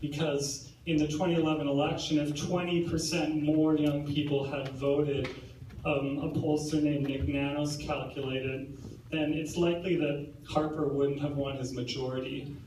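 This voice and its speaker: Amid audible room echo and noticeable background noise, a man speaks in a fairly high, monotone, flat voice at a moderate pace. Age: 20s. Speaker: event moderator interviewing the speaker. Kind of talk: on-stage interview. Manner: halting, many repetitions.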